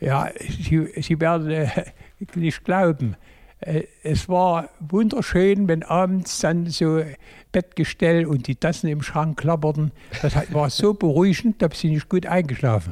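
Speech at a very slow pace with very even loudness and ordinary pitch variation comes through on a very clean recording with a silent background. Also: man, high pitch for a man. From Saxony, Braunsdorf near Chemnitz. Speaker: retired textile technician, volunteer. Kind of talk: interview. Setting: museum beside loom.

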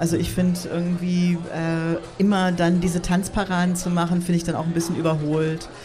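A woman's fairly low, flat, monotone voice at a moderate pace, very even in loudness with hardly any pauses, plus noticeable background noise and audible room echo. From United States. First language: English (speaking German). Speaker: artist and techno scene co-founder. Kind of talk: casual interview. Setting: outdoor beer garden at a festival with audience.

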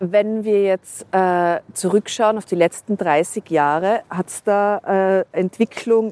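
A woman's medium-pitched voice, dark and mellow, with fairly even intonation at a very slow pace, in a dry, close sound with no echo. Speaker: podcast host. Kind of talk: interview. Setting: outdoors on a rooftop.

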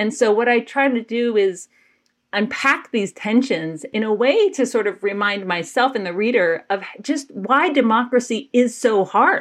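A normal speaking voice from a woman with an American accent, fairly high in pitch, lively in intonation and fairly slow in pace, over a quiet background. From US South, Georgia (Athens). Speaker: activist and writer. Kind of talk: interview conversation.

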